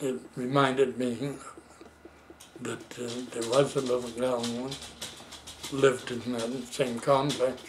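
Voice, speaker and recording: A man with an American accent talks at a fairly slow pace in a flat monotone, his loudness swinging widely. Long, frequent pauses break up the speech, and background noise is noticeable. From Seattle, US Pacific Northwest. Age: 80s+. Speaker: elderly man recounting his life. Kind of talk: casual family interview. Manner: halting. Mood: relaxed reminiscing. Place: home room. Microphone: camera far.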